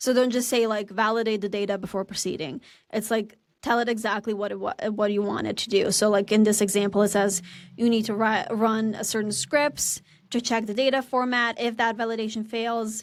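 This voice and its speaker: A woman's fairly high voice in a Serbian accent, fairly quick in pace with fairly even intonation. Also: very clean recording, silent background. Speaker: marketer and podcast co-host. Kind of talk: casual tutorial chat.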